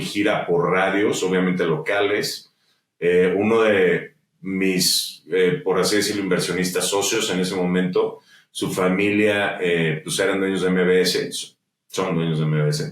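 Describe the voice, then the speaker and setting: With a Mexican accent, a man speaks at a fairly slow pace in a very deep, low pitch. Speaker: musician and entrepreneur. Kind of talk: interview conversation. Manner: animated.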